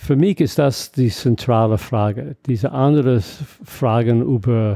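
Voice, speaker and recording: With an English accent, a man speaks at a medium pitch with ordinary variation and a dark, mellow tone, recorded dry and close with no echo over a quiet background. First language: English (speaking German). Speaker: mathematics professor. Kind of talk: interview. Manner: halting.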